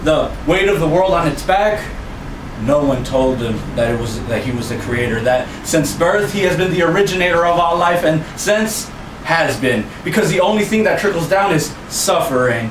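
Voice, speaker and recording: A man with a high pitch and lively intonation speaks at a moderate pace amid noticeable background noise and audible room echo. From Mexico, Los Mochis, Sinaloa. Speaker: poet. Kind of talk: spoken word poetry.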